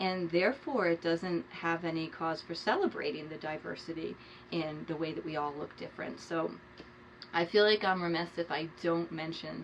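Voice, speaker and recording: Over noticeable background noise, a woman talks at a moderate pace with a fairly low pitch and fairly even intonation. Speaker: art teacher. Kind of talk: tutorial.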